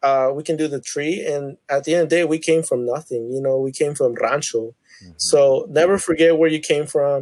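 Someone with an American accent talks at a fairly quick pace, intonation fairly even. It is a normal speaking voice. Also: man, fairly high pitch for a man. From Tulsa, Oklahoma. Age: 20s. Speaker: podcast guest. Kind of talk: casual chat.

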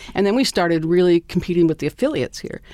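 This woman's fairly low voice races along very fast, its pitch varying in an ordinary way. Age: 50s. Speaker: retired TV broadcaster. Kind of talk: casual interview.

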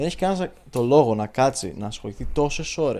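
A man's fairly high voice with a dark, mellow tone, lively intonation, and a moderate pace. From Greece. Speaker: podcast co-host. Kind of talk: casual chat.

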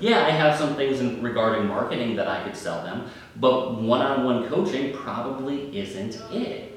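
Recorded with audible room echo and noticeable background noise, a man talks in a Northeastern US accent. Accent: Northeastern US, drops R's. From US Northeast. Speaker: sales podcast host and sales trainer. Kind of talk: solo podcast monologue.

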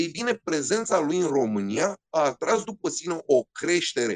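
This man's voice is high-pitched and animated, moving at a moderate pace. The sound is dry and close, with no echo. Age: 40s. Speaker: rally co-driver and motorsport commentator. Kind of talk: interview storytelling.

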